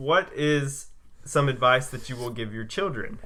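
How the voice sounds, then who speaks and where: A man talks in a bright, sharp tone. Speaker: podcast host. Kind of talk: casual chat. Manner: halting; stutter.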